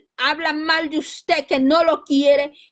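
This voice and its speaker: A woman speaks loudly. Her pitch is extremely high. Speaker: lay preacher. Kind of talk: sermon.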